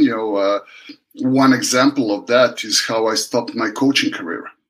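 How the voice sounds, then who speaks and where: A man with a Serbian accent at a moderate pace. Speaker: water polo coach. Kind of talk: interview.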